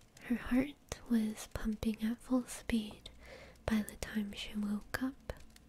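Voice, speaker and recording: A woman whispers at a very slow pace. Her voice is soft-spoken and somewhat breathy. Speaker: indie author. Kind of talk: bedtime story reading. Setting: home studio microphone. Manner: soft-spoken, whispered.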